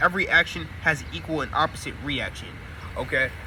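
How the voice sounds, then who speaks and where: There is noticeable background noise in this clip. A man talks over it at a fairly quick pace. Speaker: spiritual YouTuber. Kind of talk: casual monologue to camera. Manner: fast; halting, self-correcting.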